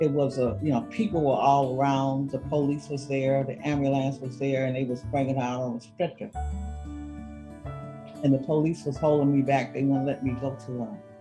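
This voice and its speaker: Over music in the background, a woman speaks with a very deep, low pitch and fairly even intonation. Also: moderate pace. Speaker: gun violence prevention advocate. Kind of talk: interview answer.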